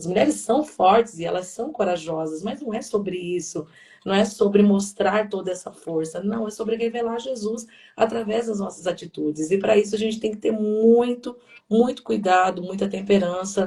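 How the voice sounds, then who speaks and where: With a dark, mellow tone and a somewhat breathy quality, a woman speaks at medium pitch and a moderate pace, with ordinary pitch variation. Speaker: pastor. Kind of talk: sermon-like live talk. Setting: livestream. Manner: talkative.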